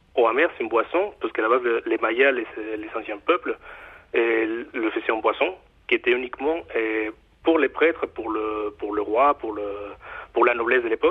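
A man with a Mexican accent at a moderate pace, with long, frequent pauses. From Mexico. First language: Spanish (speaking French). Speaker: chocolate bar owner. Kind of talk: radio interview. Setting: phone call. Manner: halting.

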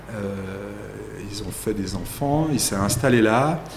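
A man speaking with ordinary pitch variation, audible room echo and noticeable background noise. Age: 30s. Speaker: winemaker. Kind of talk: interview. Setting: winery.

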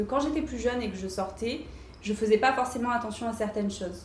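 A woman's fairly high voice with ordinary pitch variation and audible room echo. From southern France, Cannes. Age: 20s. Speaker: fashion entrepreneur. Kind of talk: interview. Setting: showroom. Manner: hesitant, many fillers.

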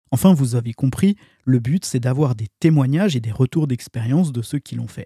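With a dark, mellow tone and a somewhat breathy quality, a man speaks at a moderate pace and medium pitch with ordinary pitch variation, the sound dry and close with no echo. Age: 40s. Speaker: podcast host. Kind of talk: monologue intro.

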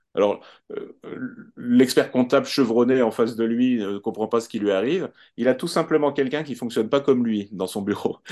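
Dark and mellow, the tone moves at a moderate pace. Its pitch varies in an ordinary way. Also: man, medium pitch for a man. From France. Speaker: HR expert and sociologist. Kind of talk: podcast interview.

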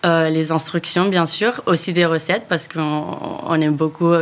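Over noticeable background noise, a woman talks at a moderate pace with a fairly low pitch. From Spain, Barcelona. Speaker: startup founder. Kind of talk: interview.

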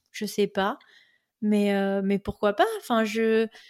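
Here a woman talks. Her pitch lands in the middle range. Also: dry, close sound with no echo, very clean recording, silent background. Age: 20s. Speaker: podcast host, expatriate. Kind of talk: interview, personal storytelling.

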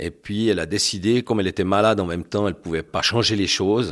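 A man with an ordinary speaking voice and fairly low pitch talks at a moderate pace with fairly even intonation, in a very clean recording with a silent background. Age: 60s. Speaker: husband and caregiver of a person with MS. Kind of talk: testimony.

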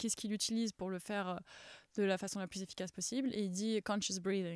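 The speech runs at a fairly quick pace. Its intonation stays fairly even, and the sound is dry and close with no echo. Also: woman. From France, Paris. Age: 30s. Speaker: former tennis player and sports presenter. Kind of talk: podcast interview. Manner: halting.

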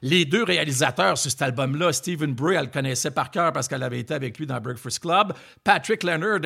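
A man with a Quebec accent and lively intonation on a very clean recording with a silent background. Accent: Québécois French. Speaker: podcast host, former music TV journalist. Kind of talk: casual chat.

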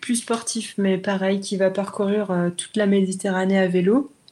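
A woman with a plain, everyday voice talks at a fairly slow pace and a medium pitch. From Brittany, France. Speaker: cycle traveller. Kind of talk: interview testimony.

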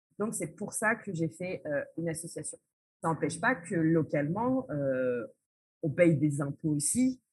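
A woman speaks at a fairly slow pace, her voice somewhat breathy. Her pitch is fairly low, with very wide swings. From France. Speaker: social entrepreneur, association founder. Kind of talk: interview. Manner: hesitant, frequent fillers.

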